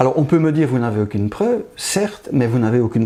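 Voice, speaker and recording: A man's voice, with pitch that shifts in a normal way, comes through over clearly audible background noise. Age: 60s. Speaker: pathologist. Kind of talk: interview.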